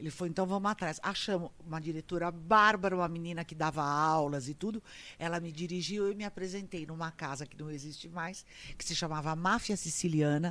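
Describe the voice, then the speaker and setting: Bright, sharp tone at a fairly quick pace with big swings in loudness, over a very clean recording and silent background. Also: woman, fairly low pitch for a woman. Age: 60s. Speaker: comedian and actress. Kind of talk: casual chat. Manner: animated.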